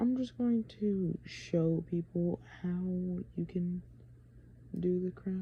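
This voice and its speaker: Whispering at a very slow pace, a woman sounds somewhat breathy and leaves long, frequent pauses. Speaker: video creator explaining math. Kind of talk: casual tutorial. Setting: grandmother's house at night. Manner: halting, filler-heavy.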